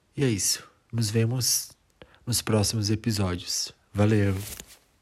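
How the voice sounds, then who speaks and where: A man speaks with a flat, monotone delivery at a fairly low pitch. His voice is somewhat breathy. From Brazil. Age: 20s. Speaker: podcast host. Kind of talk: solo podcast introduction. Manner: halting, with fillers.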